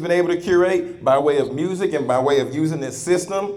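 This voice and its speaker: Against noticeable background noise, a man speaks in a fairly high pitch with an animated, warm tone. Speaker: podcast host and motivational speaker; former elementary teacher. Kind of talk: preacher-style motivational talk to a live audience. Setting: live room with audience. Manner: animated, call-and-response, urging the crowd to say amen; warm, earnest, conversational.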